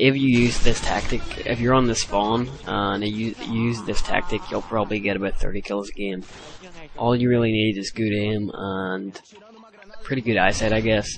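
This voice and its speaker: Over noticeable background noise, a man with a fairly low voice talks at a moderate pace with fairly even intonation. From Ireland. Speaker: gaming commentator. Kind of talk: gameplay commentary tutorial. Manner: hesitant, many fillers.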